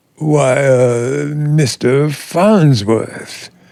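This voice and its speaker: A man puts on a character voice. It sits at medium pitch, with ordinary pitch variation. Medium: audio drama. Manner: formal, hesitant, deferential.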